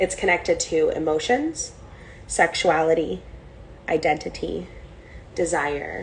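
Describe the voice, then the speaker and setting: Speech at a very slow pace rings with audible room echo. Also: woman. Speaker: spiritual teacher. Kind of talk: online class lecture.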